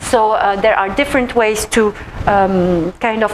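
A woman's voice with ordinary pitch variation over light background noise. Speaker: presenter. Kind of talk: presentation talk. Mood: warm, laughing. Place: meeting room.

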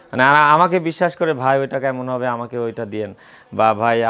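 A man with an unremarkable speaking voice talks at a medium pitch, his pitch varying in an ordinary way. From Bangladesh, Pabna district (Ishwardi). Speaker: cattle trader. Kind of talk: casual interview, showing cattle on camera.

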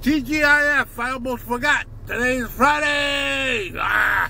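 Over light background noise, a man uses a raised, projected voice at an extremely high pitch, the sound dry with no echo. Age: old. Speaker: vlogger. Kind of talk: casual vlog monologue. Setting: in a car. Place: car. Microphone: phone near.

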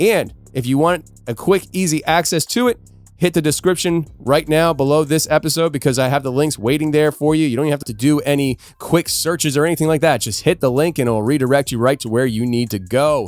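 A man speaks at a fairly quick pace with ordinary pitch variation. The sound is dry with no echo. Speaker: podcast host. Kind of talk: podcast host announcements. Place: studio. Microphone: studio mic.

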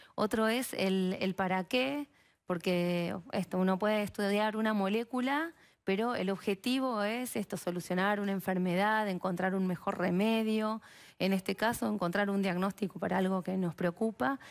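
A woman speaks at a moderate pace with very even loudness and ordinary pitch variation. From Argentina, Mar del Plata; Argentina. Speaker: biologist and researcher; guest. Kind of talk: TV interview. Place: studio. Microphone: headset.

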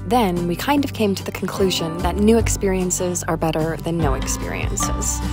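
A woman at a moderate pace, dry sound with no echo, music in the background. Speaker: vlogger narrating her family trip. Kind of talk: narrated vlog voice-over.

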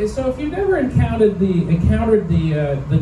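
With music playing in the background, a man's voice swings very widely in pitch. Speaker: stand-up comedian. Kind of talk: stand-up comedy set. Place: bar. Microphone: pa.

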